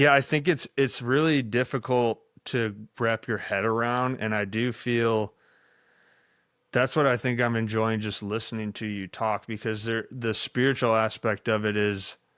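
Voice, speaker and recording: The recording is very clean, with a silent background and a dry, close sound with no echo. The speech moves at a moderate pace with fairly even intonation. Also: man, medium pitch for a man. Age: 30s. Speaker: podcast host and former baseball coach. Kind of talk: interview. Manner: halting.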